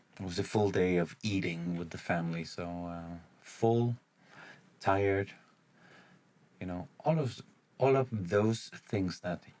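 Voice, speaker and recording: With a non-native accent, a man speaks fairly slowly in a very deep, low pitch, with ordinary pitch variation and long, frequent pauses. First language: not English. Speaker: gaming YouTuber. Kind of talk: gameplay commentary. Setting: home recording late at night. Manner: halting, many fillers.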